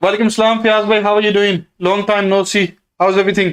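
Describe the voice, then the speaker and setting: Speaking with a Pakistani accent, a man uses a high pitch. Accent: South Asian (Pakistani) English. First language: Urdu. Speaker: property investor and stock trader. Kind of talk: live stream Q&A. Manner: halting, many fillers.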